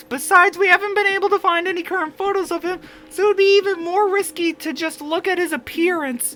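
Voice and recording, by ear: An extremely high-pitched, put-on character voice. It rattles along at a very fast pace.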